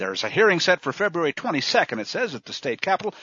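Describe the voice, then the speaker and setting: A man speaks with vocal fry and very wide pitch swings. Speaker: news commentator. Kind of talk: news commentary with angry rant. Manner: sarcastic, indignant, biting, rising to a scornful ranting tone.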